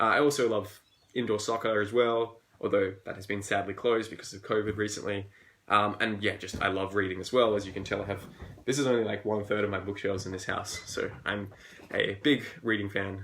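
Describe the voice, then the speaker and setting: A man talks fairly quickly in an Australian accent. His pitch sits fairly low. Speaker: fantasy author. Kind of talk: live Q&A stream. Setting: live video stream at home. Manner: casual, upbeat.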